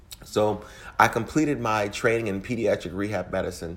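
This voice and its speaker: A man speaks at a moderate pace in a plain, everyday voice. His pitch is fairly low, with ordinary pitch variation. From US, Louisiana-born, raised across Midwest. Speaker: physician. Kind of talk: recorded personal story.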